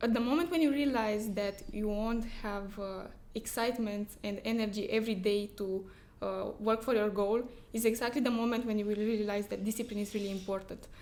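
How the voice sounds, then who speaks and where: With a non-native accent, a woman talks at a fairly quick pace in a fairly high pitch with fairly even intonation. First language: not English. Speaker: trader. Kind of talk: interview. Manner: halting.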